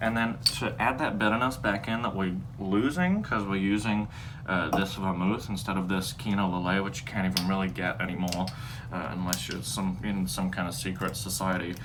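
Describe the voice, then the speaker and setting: A man with a very deep, low pitch and ordinary pitch variation speaks at a fairly quick pace, with noticeable background noise and audible room echo. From Texas. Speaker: home cocktail video host. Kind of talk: casual comedic tutorial. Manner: rambling, halting with fillers.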